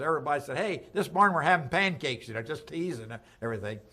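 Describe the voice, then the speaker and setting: A man's bright, sharp, fairly high voice carries lively intonation and vocal fry, with an American accent. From Delaware, US. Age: 80s+. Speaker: war veteran. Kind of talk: oral history interview. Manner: halting.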